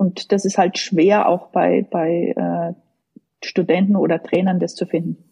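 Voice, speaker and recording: In a dry, close sound with no echo, a woman with a fairly low pitch speaks very slowly in a monotone, flat intonation, her dark, mellow tone marked by vocal fry. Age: 50s. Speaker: tennis coach, former pro player. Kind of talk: casual interview. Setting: online call.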